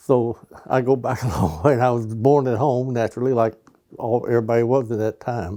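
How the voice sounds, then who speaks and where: A man with an American accent speaks at a fairly quick pace, his pitch medium and his intonation fairly even. His tone is dark and mellow. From western Kentucky (Daviess County). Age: 80s+. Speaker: lifelong local resident. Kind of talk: interview reminiscence. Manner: halting, with fillers.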